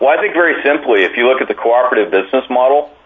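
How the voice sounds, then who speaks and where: With noticeable background noise behind him, a man talks in an American accent. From US, Oregon. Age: 50s. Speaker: agricultural cooperative CEO. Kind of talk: interview. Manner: halting, many fillers and repeated words.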